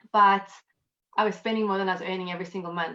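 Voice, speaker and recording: A woman speaks at a very fast pace in a South African accent. Her pitch is medium and her intonation fairly even. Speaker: accountant and network marketer. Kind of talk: interview. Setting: live video stream from home.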